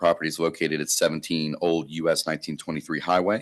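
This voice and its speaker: A man talks at a fairly quick pace. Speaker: county zoning staff presenter. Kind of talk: formal case presentation at public hearing. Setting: public board meeting. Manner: formal.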